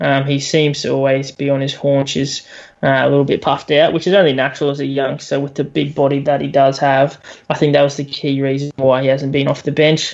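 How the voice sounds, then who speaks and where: With an Australian accent, a man talks fairly quickly in a fairly high, flat monotone while background noise is noticeable. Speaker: sports podcast co-host. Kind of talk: casual chat.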